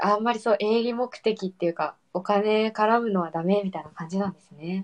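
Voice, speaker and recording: A woman speaks in an ordinary speaking voice at a medium pitch and a moderate pace. Her intonation stays fairly even, but her loudness swings widely. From Okinawa, Japan. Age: 20s. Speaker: podcaster. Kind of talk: casual chat.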